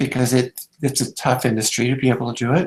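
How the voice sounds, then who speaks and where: There is some breathiness to this man's voice. He speaks at a medium pitch. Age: 50s. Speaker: network marketing distributor. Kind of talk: interview. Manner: halting, many fillers.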